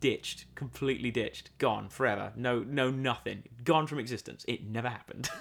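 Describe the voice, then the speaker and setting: Speaking in a British accent at a fairly quick pace with hardly any pauses, a man uses a medium pitch and an animated tone. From Britain. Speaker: podcast co-host. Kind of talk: casual chat. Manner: animated, joking.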